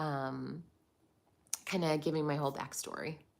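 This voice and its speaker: A woman speaks at a moderate pace with an American accent. Her voice sits very deep and low, and her intonation stays flat and monotone. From United States. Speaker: livestream host on leaving religion. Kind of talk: live chat reading viewer comments. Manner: hesitant, many fillers.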